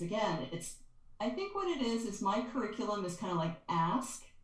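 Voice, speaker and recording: Lively intonation marks this woman's speech at a moderate pace. Audible room echo is present. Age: 60s. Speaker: energy healer and author. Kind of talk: interview conversation. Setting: podcast.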